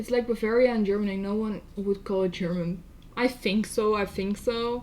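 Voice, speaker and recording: In a Dutch accent, a woman talks at a moderate pace with a medium pitch and fairly even intonation. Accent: Dutch accent, noticeable. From Netherlands. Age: 20s. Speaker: streamer. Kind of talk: casual chat. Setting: live stream. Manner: soft.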